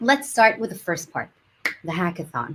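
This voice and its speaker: Pitch swings very widely and the voice is somewhat breathy. Delivery moves at a fairly quick pace. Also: woman. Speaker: community team host. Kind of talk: livestream presentation. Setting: online livestream.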